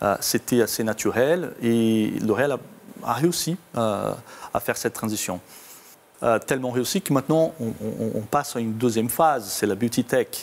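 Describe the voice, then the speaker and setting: With a slight Brazilian accent, a man speaks at a moderate pace and medium pitch with ordinary pitch variation. Long, frequent pauses break up his speech. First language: Portuguese (speaking French). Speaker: company IT executive. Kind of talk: interview. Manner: halting, many hesitations.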